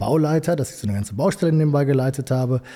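In a Ruhr accent, the voice sounds somewhat breathy with a dark, mellow tone and ordinary pitch variation. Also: man. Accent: Ruhr area German. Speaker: entrepreneur, construction company owner. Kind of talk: interview.

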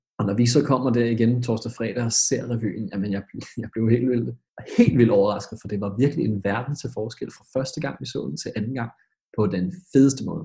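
A man with a medium pitch and a dark, mellow tone, somewhat breathy, at a moderate pace. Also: ordinary pitch variation. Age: 20s. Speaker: schoolteacher, revue panel judge. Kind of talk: casual chat.

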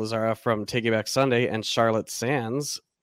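With an American accent, a man with an unremarkable speaking voice talks at a moderate pace and medium pitch with fairly even intonation, the sound dry and close with no echo on a very clean recording with a silent background. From Michigan. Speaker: podcast host. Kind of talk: casual chat.

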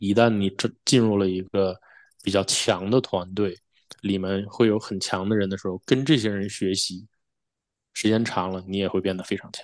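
A man talks at a moderate pace with a fairly low pitch. His intonation is fairly even, and the background is quiet. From Northeast China (Shenyang, Liaoning), then Toronto from 2002. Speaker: chip design engineer. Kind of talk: podcast interview. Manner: halting, many fillers.

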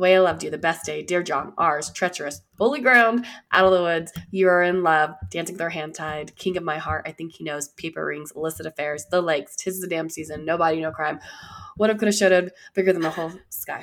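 A woman does a raspy put-on character voice at a fairly low pitch. She talks at a fairly quick pace. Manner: very fast, rattling off a list.

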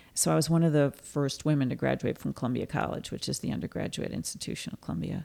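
A woman's very deep, low voice at a fairly quick pace, on a very clean recording with a silent background. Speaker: journalist. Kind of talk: casual interview. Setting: studio.

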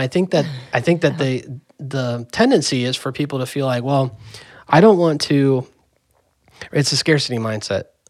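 A man's ordinary speaking voice at medium pitch, moderate pace and ordinary pitch variation, in a very clean recording with a silent background. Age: 30s. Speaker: musician, podcast co-creator. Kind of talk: casual chat.

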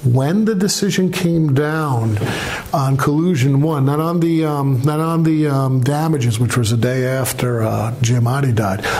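With an American accent, a man speaks fairly slowly in a fairly high pitch, with ordinary pitch variation and very even loudness, over noticeable background noise. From New York, Brooklyn. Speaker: author. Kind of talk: library book talk. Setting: library event with audience.

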